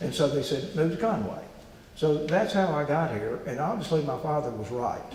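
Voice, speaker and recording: Amid noticeable background noise and audible room echo, a man with an Arkansas accent speaks at a moderate pace and a fairly high pitch, with lively intonation. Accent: Southern US (Arkansas). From US South, Arkansas Delta (Dermott). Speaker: businessman and investor. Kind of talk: interview. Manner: halting.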